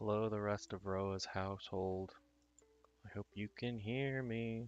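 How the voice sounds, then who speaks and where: Soft-spoken, relaxed speech at a fairly slow pace over background music. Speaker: streamer and video creator. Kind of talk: casual livestream chat. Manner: quiet, soft-spoken; relaxed, rambling.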